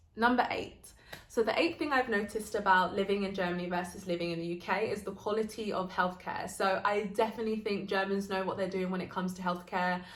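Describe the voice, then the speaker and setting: A woman with a British accent talks at a very fast pace with hardly any pauses, at medium pitch and with fairly even intonation. Audible room echo surrounds her voice. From UK, British Nigerian. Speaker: vlogger. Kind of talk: casual vlog talk.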